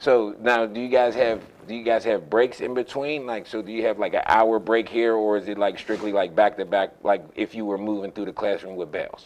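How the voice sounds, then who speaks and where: In a normal speaking voice, the talker goes at a fairly quick pace with fairly even intonation and hardly any pauses. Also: man, medium pitch for a man. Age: 30s. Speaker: youth sports show host. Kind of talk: casual interview.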